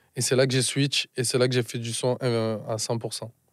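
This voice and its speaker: A man's medium-pitched voice in a flat monotone at a very slow pace. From France, Marseille. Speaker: musician and producer. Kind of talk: casual interview chat. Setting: studio.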